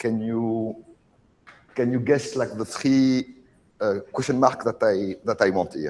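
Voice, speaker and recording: A man speaks with a strong French accent. His pitch varies in an ordinary way. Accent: very strong French. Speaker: oceanography researcher. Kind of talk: lecture. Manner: halting, many fillers.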